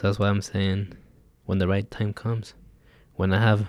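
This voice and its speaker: At a moderate pace, a man speaks in a flat monotone with a fairly low pitch. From Mexico. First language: Spanish. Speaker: undocumented immigrant. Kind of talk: interview.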